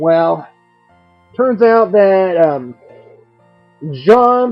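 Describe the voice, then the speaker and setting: A man speaks with lively intonation over music playing in the background. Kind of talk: casual comic review. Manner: stutters a bit.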